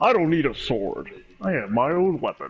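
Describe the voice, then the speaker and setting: A man puts on a character voice with a high pitch. His pitch swings very widely. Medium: actual play.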